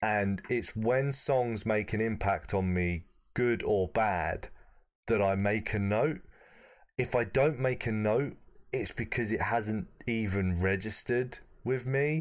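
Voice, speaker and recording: In a British accent, a man speaks at a very slow pace and a fairly low pitch, with ordinary pitch variation, very even loudness and a very clean recording with a silent background. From Britain. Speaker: podcast co-presenter reviewing music. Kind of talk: casual chat.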